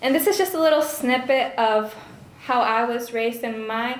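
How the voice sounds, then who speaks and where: A woman speaks with a fairly high pitch. Audible room echo and noticeable background noise surround her voice. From Honduras. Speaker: speaker who grew up at the ministry. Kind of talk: testimony. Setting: fundraising banquet with audience.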